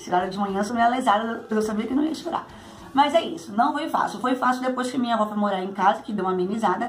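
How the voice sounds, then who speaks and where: Faint music plays behind a woman talking very fast at a fairly high pitch with ordinary pitch variation. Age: 30s. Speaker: YouTuber. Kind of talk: casual Q&A vlog. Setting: at home. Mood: cheerful, sometimes laughing. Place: home room. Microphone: phone near.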